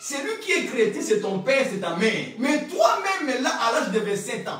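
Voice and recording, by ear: A man speaks at a moderate pace with an extremely high pitch and a fairly bright tone. His pitch swings widely, and the room echo is strong.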